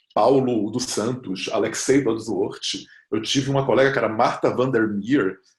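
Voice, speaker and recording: A man speaks in a somewhat breathy voice. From Brazil, Bahia. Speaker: fantasy writer. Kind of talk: talk on literary creation. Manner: animated storytelling.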